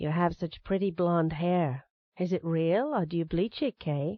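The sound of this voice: Breathy and fairly low-pitched, a woman uses a put-on character voice at a moderate pace.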